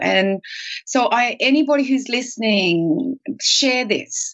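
An ordinary speaking voice belongs to this woman, who talks at a fairly high pitch with lively intonation. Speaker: podcast co-host. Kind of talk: interview.

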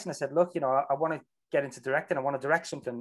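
A man with a Liverpool accent, fairly high pitch and fairly even intonation. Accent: Scouse. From Liverpool, England. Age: 40s. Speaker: film director and actor. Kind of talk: casual interview chat.

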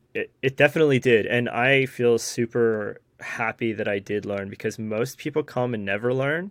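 A man with an ordinary speaking voice and medium pitch speaks at a moderate pace with ordinary pitch variation and hardly any pauses. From Newfoundland, Canada. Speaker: bag reviewer and photographer. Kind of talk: casual chat.

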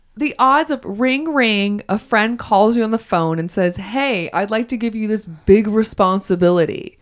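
A woman talks in an animated tone with lively intonation and a fairly high pitch. She leaves hardly any pauses. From US South. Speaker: podcast co-host. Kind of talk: casual chat. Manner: fast talker.

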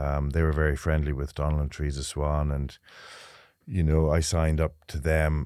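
In an Irish Midlands accent, a man speaks with a very deep, low pitch and a dark, mellow tone. His monotone, flat intonation moves at a moderate pace in a very clean recording with a silent background. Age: 50s. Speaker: retired jockey, racecourse manager. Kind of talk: interview. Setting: studio.

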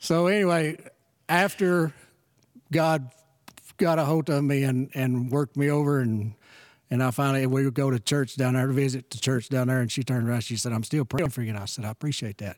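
Here a man talks in a Texan accent at a fairly quick pace. His pitch is medium, with ordinary pitch variation. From rural West Texas. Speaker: church member. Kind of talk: casual chat.

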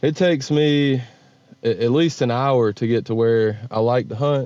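This man has a medium pitch, ordinary pitch variation and a slight Southern US accent. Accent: slight Southern drawl. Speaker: bird hunter. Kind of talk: casual interview. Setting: phone call.

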